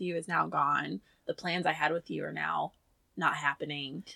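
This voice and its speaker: A woman speaks with an American accent and a bright, sharp tone. The sound is dry and close, with no echo. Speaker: podcast co-host. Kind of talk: casual chat.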